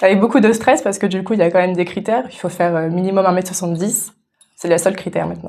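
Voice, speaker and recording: A woman speaks at a medium pitch and a very fast pace. Her pitch varies in an ordinary way. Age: 20s. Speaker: beauty pageant contestant. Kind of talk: radio interview. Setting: radio studio. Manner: hesitant, many fillers.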